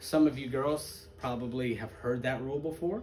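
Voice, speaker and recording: A man at a moderate pace, over light background noise. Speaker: teacher. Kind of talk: lecture. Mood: joking, relaxed. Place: classroom. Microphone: camera far.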